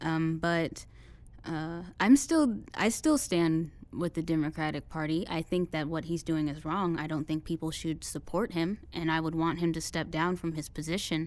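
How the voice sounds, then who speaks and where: Here a woman speaks with a Midwestern American accent. Her pitch is very deep and low, and her intonation stays fairly even. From Indiana, US Midwest. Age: 20s. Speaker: student. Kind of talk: interview. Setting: studio. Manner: hesitant, many fillers.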